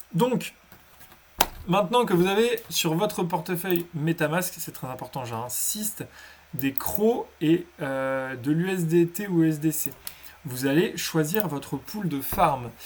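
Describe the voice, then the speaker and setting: Against noticeable background noise, a man with a high pitch speaks at a very slow pace using lively intonation. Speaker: crypto tutorial youtuber. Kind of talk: tutorial. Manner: halting.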